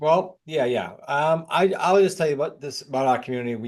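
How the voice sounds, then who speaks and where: A man speaks with a New England accent. His pace is very fast. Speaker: real estate coach and author. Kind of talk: interview.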